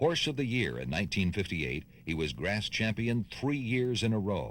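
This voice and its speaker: The voice shows vocal fry and very wide pitch swings at a moderate pace. The recording is very clean with a silent background. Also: man, fairly low pitch for a man. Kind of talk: documentary narration about racing history.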